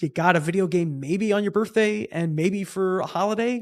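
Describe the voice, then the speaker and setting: A man speaks with a Long Island accent and ordinary pitch variation. The recording is very clean, with a silent background. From Long Island, New York. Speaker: bass player in a punk band. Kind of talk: casual podcast chat.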